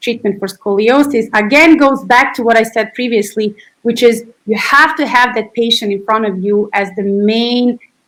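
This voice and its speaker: A woman with a Serbian accent, at a moderate pace with ordinary pitch variation. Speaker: physiotherapist and researcher. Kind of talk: interview.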